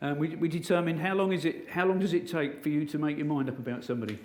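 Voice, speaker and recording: Speaking very fast in an English accent, a man uses ordinary pitch variation. Room echo is audible. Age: 60s. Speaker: motivational speaker. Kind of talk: inspirational talk. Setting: stage with audience. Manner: animated.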